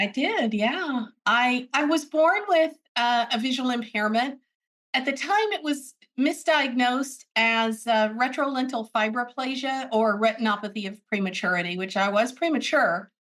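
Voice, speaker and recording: This woman talks at a moderate pace with a high pitch and lively intonation, in an American accent. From US, military family moving around. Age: 60s. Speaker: braille literacy advocate. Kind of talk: interview.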